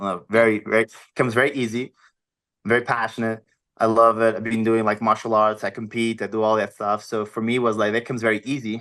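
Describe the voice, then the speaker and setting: Over a quiet background, a man with a Portuguese accent talks at a very fast pace in a bright, sharp tone, with medium pitch and monotone, flat intonation. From Portugal, small village. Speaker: health and wellness coach, former model. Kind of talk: podcast interview. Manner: halting.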